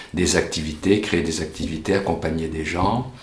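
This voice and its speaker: Over noticeable background noise and audible room echo, a man with a very deep, low pitch talks at a moderate pace with fairly even intonation. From France, Angoulême (childhood partly in Africa). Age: 60s. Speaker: volunteer hiking group leader, retiree. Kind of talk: interview. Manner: halting, many fillers.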